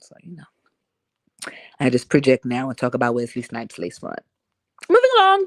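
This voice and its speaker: An animated woman with long, frequent pauses, dry and close with no echo. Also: big swings in loudness. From Harlem, New York. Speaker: live streamer. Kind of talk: casual chat.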